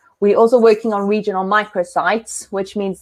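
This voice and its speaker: The voice belongs to a woman with a medium pitch. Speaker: sports medicine doctor. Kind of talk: conference presentation. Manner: fast.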